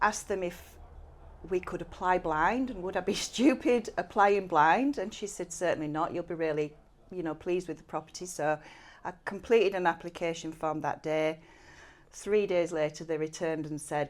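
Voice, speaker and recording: A woman speaks in a Yorkshire accent. Her voice is fairly low, with ordinary pitch variation. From West Yorkshire, near Haworth. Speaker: cleaning business owner. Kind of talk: podcast interview chat. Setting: studio, on camera.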